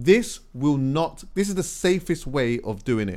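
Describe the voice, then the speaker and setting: Lively intonation and an animated tone mark this man's speech in a very clean recording with a silent background. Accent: London. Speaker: podcast co-host. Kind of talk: casual chat.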